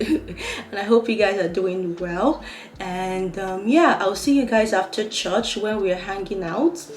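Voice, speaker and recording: Amid noticeable background noise and audible room echo, a woman of medium pitch speaks at a very slow pace with ordinary pitch variation. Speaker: lifestyle vlogger. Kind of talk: casual vlog talk. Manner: animated.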